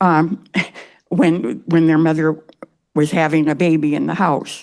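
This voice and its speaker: In an Upper Midwest accent, a woman speaks fairly slowly in a very deep, low voice, her intonation fairly even and her loudness very even. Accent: Upper Midwest American. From northern Wisconsin, Hayward area. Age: 80s+. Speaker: resident giving public comment. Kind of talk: public hearing comment.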